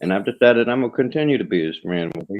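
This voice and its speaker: A man talks with a Southern accent. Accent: Southern, rural. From US South. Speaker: live streamer. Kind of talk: casual live stream chat.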